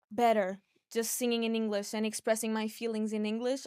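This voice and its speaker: A woman speaks at a fairly quick pace in a Portuguese accent. Her intonation is monotone and flat. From Portugal, Porto. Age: 20s. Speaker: singer-songwriter. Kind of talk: podcast interview. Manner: halting.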